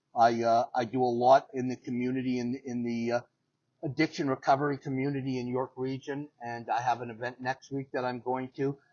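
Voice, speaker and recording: A man with a Canadian accent speaks at a fairly quick pace in a flat, monotone delivery. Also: medium pitch for a man. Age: 60s. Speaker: paralympic athlete and motivational speaker. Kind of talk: interview. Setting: in person.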